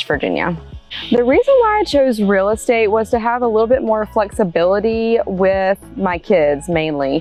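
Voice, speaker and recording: Lively intonation over music playing in the background. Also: woman, fairly high pitch for a woman. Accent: Southern US. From North Carolina. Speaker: real estate agent. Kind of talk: interview answer.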